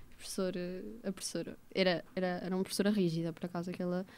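A woman at a fairly quick pace. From central Portugal, Águeda; Portugal. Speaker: podcast guest, recent graduate; podcast guest. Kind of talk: casual interview chat. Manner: halting, repetitive. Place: studio. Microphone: studio mic.

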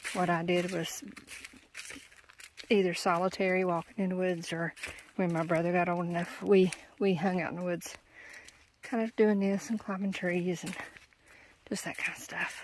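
A woman talks at a moderate pace with fairly even intonation and long, frequent pauses. The sound is dry with no echo, over light background noise. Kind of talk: casual vlog chat. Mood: calm, reflective. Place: forest. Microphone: phone near.

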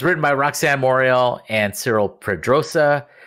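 Lively intonation carries an ordinary speaking voice at a moderate pace. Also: man. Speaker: podcast host. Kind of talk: casual chat. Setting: remote recording at home.

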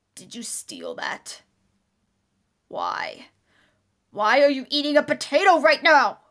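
Using a cartoonish character voice pitched high, a woman speaks at a fairly slow pace with long, frequent pauses and ordinary pitch variation, in a very clean recording with a silent background. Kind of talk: amateur anime dub acting. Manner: shouting, aggressive.

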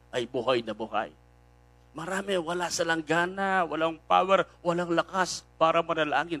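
Pitched high, a man talks at a fairly slow pace. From Philippines. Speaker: preacher. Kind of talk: sermon. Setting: online live stream. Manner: animated; exhortative. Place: church. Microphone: handheld.

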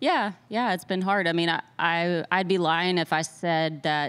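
At a fairly slow pace, a woman speaks with a fairly low pitch and fairly even intonation. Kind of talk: interview answer. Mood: relaxed, reflective. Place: meeting room. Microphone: handheld.

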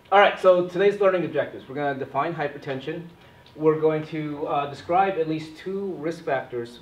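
With audible room echo around him, a man speaks at a moderate pace with ordinary pitch variation. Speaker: physician trainer. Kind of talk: lecture. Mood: light, self-deprecating humor. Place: classroom. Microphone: camera far.

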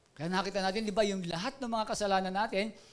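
A man's voice at a high pitch. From Philippines. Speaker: pastor. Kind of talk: sermon. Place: church. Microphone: handheld.

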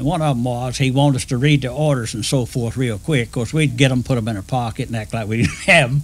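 Here a man talks with a Southern US accent. His pace is very fast. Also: medium pitch for a man, ordinary pitch variation. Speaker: retired railroad engineer. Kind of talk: oral history storytelling.

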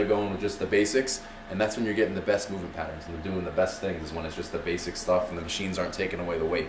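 A man talks at a very fast pace with ordinary pitch variation and big swings in loudness, and there is noticeable background noise. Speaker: fitness coach. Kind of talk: casual tour explanation. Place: gym.

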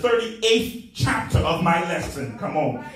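A man speaks with ordinary pitch variation, and room echo can be heard. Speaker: preacher. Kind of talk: sermon. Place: church.

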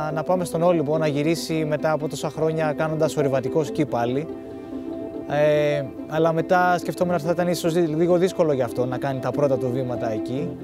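Clear music plays in the background as the speaker talks at a fairly quick pace with ordinary pitch variation, the sound dry with no echo. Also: man, fairly high pitch for a man. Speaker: ski mountaineer. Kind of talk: documentary interview narration. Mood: calm, reflective.

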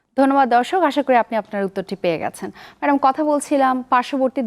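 A woman's high-pitched voice with lively intonation, dry and close with no echo. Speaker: TV health show host, doctor. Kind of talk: live TV presenting. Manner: formal.

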